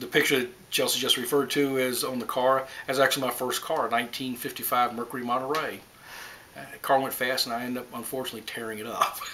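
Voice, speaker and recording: Very fast, monotone, flat delivery from a man at medium pitch, with noticeable background noise. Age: 60s. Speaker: grandfather being interviewed. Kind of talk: interview.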